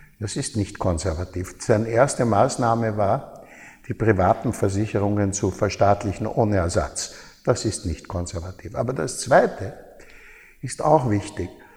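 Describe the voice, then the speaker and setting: A somewhat breathy male voice, fairly low in pitch, with ordinary pitch variation. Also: moderate pace. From Austria, Baden near Vienna. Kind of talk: interview.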